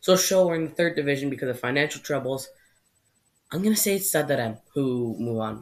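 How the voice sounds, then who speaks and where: The speech moves at a fairly quick pace. It sits over a quiet background. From Canada. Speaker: YouTuber, football predictions; YouTuber. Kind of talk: solo video commentary. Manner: casual, informal. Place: home room. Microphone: webcam.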